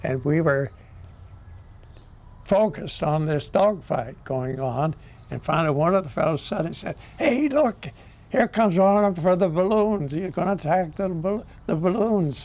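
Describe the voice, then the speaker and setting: A man with an American accent, high pitch and lively intonation, moderate pace broken by long, frequent pauses. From Southern California. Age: 90s. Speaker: war veteran. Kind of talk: testimony. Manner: halting.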